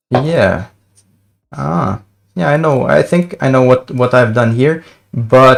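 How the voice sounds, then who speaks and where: A man talks at a medium pitch. He has a non-native accent. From Sweden. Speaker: front-end developer. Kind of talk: casual livestream coding commentary.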